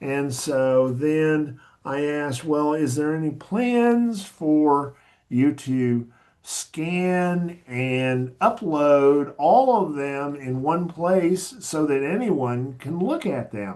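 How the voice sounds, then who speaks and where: A man with an American accent, fairly high-pitched, lively in intonation, at a very slow pace. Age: 60s. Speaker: academic librarian and archivist. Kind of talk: podcast interview.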